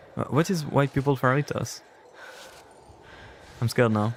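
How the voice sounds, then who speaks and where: A man speaks at a fairly quick pace with a French accent. His pitch varies in an ordinary way. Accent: French accent on every language. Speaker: gaming streamer. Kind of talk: casual chat. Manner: animated.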